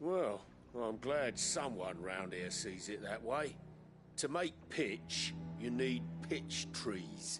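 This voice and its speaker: A man's rumbling, medium-pitched put-on character voice at a very slow pace, with clear music in the background. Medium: video game. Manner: grumbling, sarcastic.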